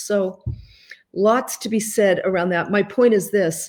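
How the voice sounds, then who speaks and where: Her Boston accent comes through as the woman speaks at a moderate pace. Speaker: life coach and author. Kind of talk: live stream talk to viewers. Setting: Facebook live video from home.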